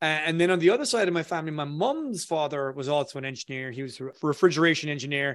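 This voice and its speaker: A man's fairly high voice with an Irish accent, very fast with hardly any pauses and ordinary pitch variation, over a quiet background. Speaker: copywriter, former engineer. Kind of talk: interview.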